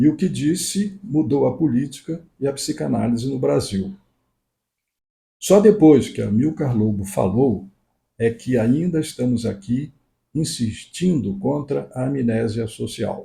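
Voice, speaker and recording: A man with a dark, mellow tone and vocal fry speaks at a medium pitch. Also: lively intonation, fairly slow pace. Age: 80s+. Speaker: psychoanalyst. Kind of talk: reading aloud; casual chat. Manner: soft-spoken; halting.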